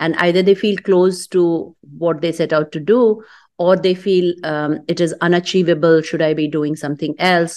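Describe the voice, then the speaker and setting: Using an ordinary speaking voice, a woman talks at a moderate pace with a fairly low pitch and fairly even intonation. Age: 50s. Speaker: fintech entrepreneur. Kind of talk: casual interview.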